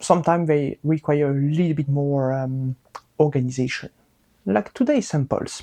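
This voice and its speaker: The speaker has a strong French accent. The pace is moderate. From France. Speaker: microbiologist and science educator. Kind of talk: casual science explainer. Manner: animated, joking.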